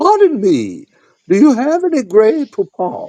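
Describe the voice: A man uses a put-on character voice pitched extremely high, delivering it fairly slowly.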